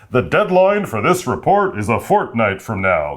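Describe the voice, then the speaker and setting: A man puts on a character voice at medium pitch, swinging very widely in pitch at a moderate pace. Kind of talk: rich and important-sounding.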